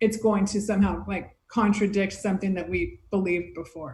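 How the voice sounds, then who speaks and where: A woman with an American accent has a normal speaking voice at a medium pitch. She keeps a moderate pace and fairly even intonation. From United States. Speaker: beach volleyball player and podcaster. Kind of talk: casual chat.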